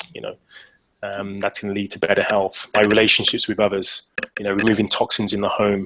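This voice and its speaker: Bright and sharp in tone, the voice races at a very fast pace in an English accent with monotone, flat intonation. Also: man. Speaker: fitness coach and author. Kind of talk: casual interview. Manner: halting, many repeated words.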